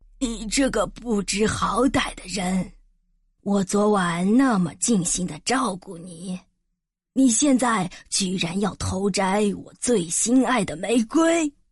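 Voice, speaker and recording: In a put-on character voice, a woman bellows hoarsely at medium pitch and a fairly slow pace. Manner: angry, roaring.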